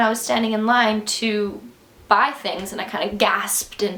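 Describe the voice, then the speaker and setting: A medium-pitched woman's voice with audible room echo and noticeable background noise. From Canada. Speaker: vlogger and musician. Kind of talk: casual vlog monologue. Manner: animated; halting.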